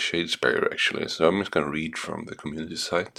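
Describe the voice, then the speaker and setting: A man is heard speaking with noticeable background noise. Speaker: gaming YouTuber. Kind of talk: casual vlog talk. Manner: soft-spoken.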